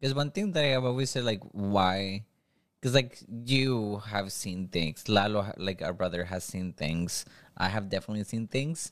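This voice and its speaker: A man's ordinary speaking voice, fairly low-pitched with ordinary pitch variation, at a moderate pace. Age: 20s. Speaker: family member guest. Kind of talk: casual chat.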